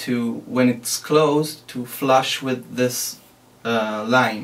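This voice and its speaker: Speaking at a very slow pace with a non-native accent, a man keeps a medium pitch and fairly even intonation. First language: not English. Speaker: DIY maker. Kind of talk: tutorial. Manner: halting.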